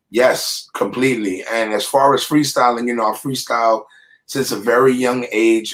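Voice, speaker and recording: A man with an American accent, medium pitch, a fairly quick pace and an unremarkable speaking voice. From New York, the Bronx. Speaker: rapper. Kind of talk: interview.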